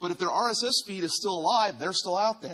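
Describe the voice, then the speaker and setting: With a slight Virginia accent, the voice is raised and projected, with a bright, sharp tone. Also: man. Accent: slight Virginia twang. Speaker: podcast design studio co-founder, conference speaker. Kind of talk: conference talk. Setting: stage with audience. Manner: loud.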